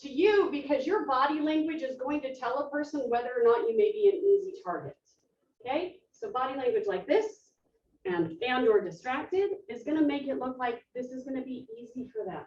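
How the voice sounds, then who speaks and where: A woman speaks at a fairly quick pace in a high voice. Her pitch swings very widely and her tone is animated. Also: big swings in loudness. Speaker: self-defense educator. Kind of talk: workshop presentation. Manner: fast.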